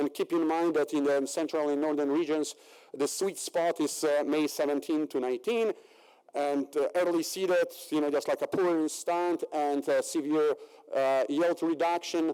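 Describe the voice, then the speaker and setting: A man speaks at a moderate pace with a Polish accent, his pitch fairly high and his tone dark and mellow. His loudness stays very even and his intonation fairly even. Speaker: agricultural researcher. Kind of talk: conference presentation. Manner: halting, many fillers.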